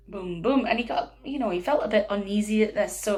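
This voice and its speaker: A woman speaks in a Scottish accent with a fairly high pitch. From northeast Scotland. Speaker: storyteller. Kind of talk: children's storytelling.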